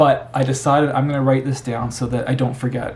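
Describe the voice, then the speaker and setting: A man with a Canadian accent at a very fast pace, medium pitch and audible room echo. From Canada. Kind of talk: personal testimony. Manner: casual, repetitive with false starts.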